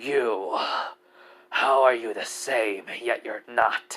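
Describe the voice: In a raspy, put-on character voice at medium pitch, a man speaks at a very slow pace.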